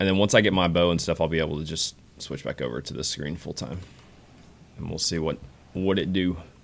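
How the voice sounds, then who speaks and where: A man with a very deep, low voice and vocal fry speaks at a very fast pace, with ordinary pitch variation. Long pauses come often between his words. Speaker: game streamer. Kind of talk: live gameplay stream chat. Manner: casual, conversational.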